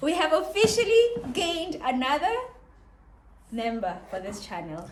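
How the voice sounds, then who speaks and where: A woman speaks at a moderate pace. Audible room echo is present. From South Africa. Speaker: vlogger. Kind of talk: casual chat.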